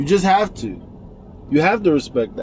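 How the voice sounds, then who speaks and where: Loud and with lively intonation, a man speaks. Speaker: political commentary vlogger. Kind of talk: casual monologue.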